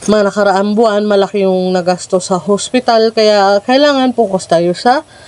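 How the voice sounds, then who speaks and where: The speaker goes at a moderate pace. Noticeable background noise is present. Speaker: farming vlogger. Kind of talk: casual vlog talk. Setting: outdoors at farm hut. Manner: restrained, not straining voice.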